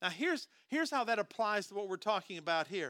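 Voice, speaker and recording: A man projects a raised, high voice with a bright, sharp tone and lively intonation. The recording is very clean and dry, close with no echo, over a silent background. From US Midwest, southern Minnesota. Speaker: pastor. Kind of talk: sermon.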